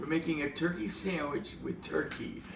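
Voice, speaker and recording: Over light background noise and with audible room echo, a man speaks at a fairly slow pace. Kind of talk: playful cooking tutorial. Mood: jokey, playful. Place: kitchen. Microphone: camera far.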